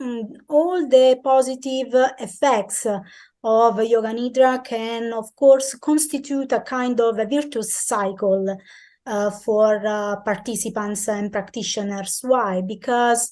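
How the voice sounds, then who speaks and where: A woman with an Italian accent, fairly high-pitched and dark, mellow in tone, very slow in pace, with ordinary pitch variation against a quiet background. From Italy. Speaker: sports science researcher. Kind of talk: interview answers. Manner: halting, many fillers.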